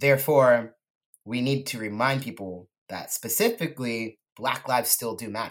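A man with a West Coast US accent speaks with ordinary pitch variation and big swings in loudness. The recording is very clean, with a silent background. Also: medium pitch for a man, moderate pace. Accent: General American (West Coast). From California Central Coast. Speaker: artist and musician. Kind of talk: casual interview.

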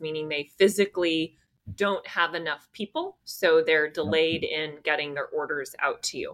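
A woman with an American accent speaks in an ordinary speaking voice at a moderate pace, with ordinary pitch variation. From US West Coast, California Bay Area. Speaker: podcast host. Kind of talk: interview; scripted outro.

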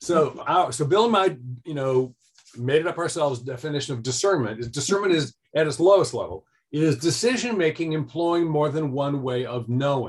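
A man speaks at a fairly quick pace with lively intonation. His fairly high-pitched voice is somewhat breathy. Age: 60s. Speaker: author and life design educator. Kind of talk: interview conversation.

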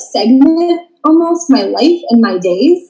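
A woman speaks with an American accent at a fairly slow pace. Her tone is dark and mellow, and her pitch swings very widely. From Maryland, US. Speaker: boutique owner. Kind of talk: casual interview.

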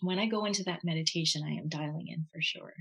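Her voice fairly low and somewhat breathy, a woman speaks with ordinary pitch variation. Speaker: Reiki master and energy healer. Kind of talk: casual interview.

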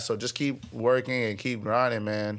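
A man speaks with an American accent. His medium-pitched voice moves at a fairly slow pace. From Nebraska. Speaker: musician and label owner. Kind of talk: casual chat. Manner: animated.

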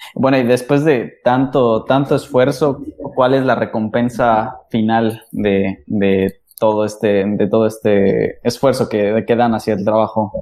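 Very slow and very even in loudness, a man's dark, mellow voice holds a medium pitch and fairly even intonation. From Mexico City. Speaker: podcast host. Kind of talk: casual chat.

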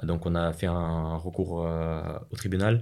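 Using a Russian accent, a man speaks at a very deep, low pitch with fairly even intonation. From Russia (Moscow, Chechen family). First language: Russian (speaking French). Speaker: business school student. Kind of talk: interview.

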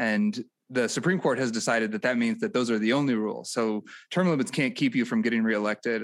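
A man with an American accent talks very fast at a medium pitch with ordinary pitch variation and very even loudness. The recording is very clean with a silent background. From rural Missouri near St. Louis. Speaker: political podcast co-host. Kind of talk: casual political chat.

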